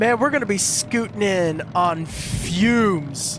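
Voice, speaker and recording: Noticeable background noise sits behind this man. He speaks at a very slow pace. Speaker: gaming youtuber. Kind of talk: gameplay commentary. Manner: casual rambling.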